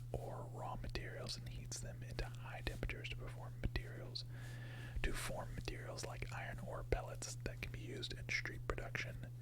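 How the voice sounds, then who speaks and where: The voice is soft-spoken. Noticeable background noise can be heard. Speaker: ASMR gaming streamer. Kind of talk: casual gaming commentary, quiet ASMR-style. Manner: quiet, soft-spoken.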